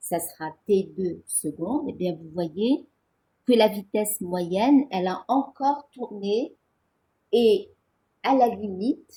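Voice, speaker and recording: At a very slow pace, this dark, mellow, somewhat breathy voice moves with lively intonation, big swings in loudness and long, frequent pauses. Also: woman, fairly high pitch for a woman. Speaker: physics teacher. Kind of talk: lecture.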